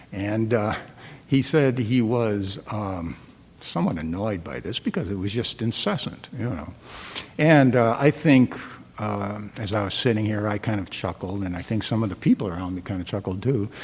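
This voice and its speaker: Noticeable background noise sits under a man speaking at a moderate pace, fairly low in pitch with ordinary pitch variation. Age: 60s. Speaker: guest dharma speaker. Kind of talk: dharma talk. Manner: halting, many fillers and repetitions.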